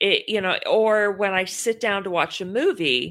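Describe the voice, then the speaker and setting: A woman with a Texan accent has a bright, sharp tone at a medium pitch. She speaks at a fairly slow pace on a very clean recording with a silent background. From Texas. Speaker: podcast co-host. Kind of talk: casual chat.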